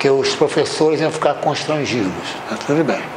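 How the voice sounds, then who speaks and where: Against noticeable background noise and audible room echo, a man with a fairly high pitch speaks at a moderate pace. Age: 80s+. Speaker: university math/engineering professor. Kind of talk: anecdote within lecture; lecture. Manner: conversational, filler-heavy.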